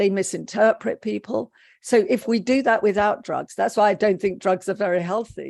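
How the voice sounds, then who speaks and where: A woman at a medium pitch with a British accent, moderate pace, ordinary pitch variation and a quiet background. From England, raised by Polish parents. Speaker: psychotherapist. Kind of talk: interview.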